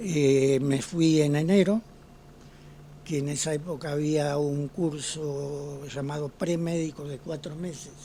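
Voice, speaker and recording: At a very slow pace, a man talks with fairly even intonation and a fairly high pitch. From Argentina, Ceres (Santa Fe). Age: 80s+. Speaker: retired pediatrician. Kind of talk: interview.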